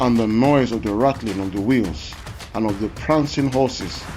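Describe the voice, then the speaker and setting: A man's medium-pitched voice at a moderate pace, with ordinary pitch variation and music in the background. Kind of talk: scripture reading.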